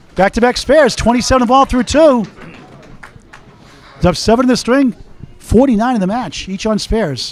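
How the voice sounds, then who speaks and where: An extremely high-pitched man speaks with long, frequent pauses. Noticeable background noise runs underneath. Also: ordinary pitch variation, moderate pace. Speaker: play-by-play commentator. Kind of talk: live commentary.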